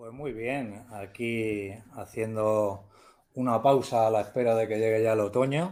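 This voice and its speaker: Dark and mellow in tone, a man of medium pitch speaks at a fairly slow pace. His intonation is fairly even, but his loudness swings widely. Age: 60s. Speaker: novelist, retired teacher. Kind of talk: interview.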